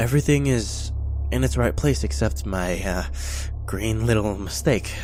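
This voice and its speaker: A man puts on a character voice that sounds shaky and nervous in tone. He talks at a moderate pace over clear background noise. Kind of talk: horror story narration. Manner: shaky, nervous, stuttering, heavy breathing.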